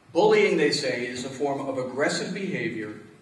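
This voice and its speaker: Moderate-paced speech from a man with an American accent, audible room echo around it. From New York. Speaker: deacon. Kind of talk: homily-style speech. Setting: church hall with audience. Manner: formal. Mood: earnest, grave. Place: hall. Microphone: podium.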